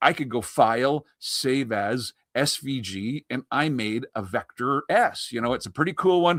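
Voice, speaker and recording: With a Canadian accent and an ordinary speaking voice, a man talks at a fairly high pitch with lively intonation, the recording very clean with a silent background and a dry, close sound with no echo. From Canada. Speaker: embroidery software demonstrator. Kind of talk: live software demonstration. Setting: live stream. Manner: casual, filler-heavy.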